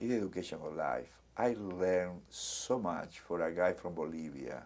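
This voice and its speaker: A man speaks with a Spanish accent in a very deep, low voice. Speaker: community center director. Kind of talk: oral history interview.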